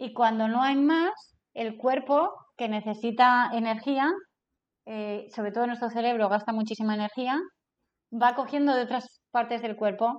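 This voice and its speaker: A woman in a normal speaking voice talks at a fairly slow pace, her fairly high pitch held in fairly even intonation. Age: 40s. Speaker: business consultant and trainer. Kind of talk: casual interview.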